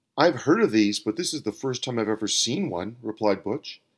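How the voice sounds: Intonation here is lively. The voice is a natural reading one.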